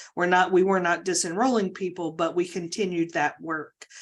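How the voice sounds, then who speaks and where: A woman with an unremarkable speaking voice, fairly low in pitch, fairly even in intonation and moderate in pace, in a very clean recording with a silent background. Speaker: state agency official. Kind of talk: work presentation.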